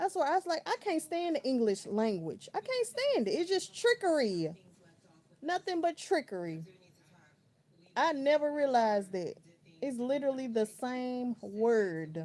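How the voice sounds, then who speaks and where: A woman's high, relaxed voice with an American accent, very wide pitch swings and a fairly slow pace, over noticeable background noise. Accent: country, strong. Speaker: livestreamer. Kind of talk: casual chat. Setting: home bedroom livestream. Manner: relaxed, conversational.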